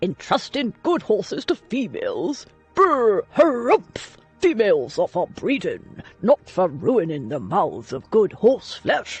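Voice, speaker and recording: In a put-on character voice, gruff and fairly high-pitched, the speaker goes at a fairly slow pace while faint music plays in the background. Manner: grumbling, disapproving.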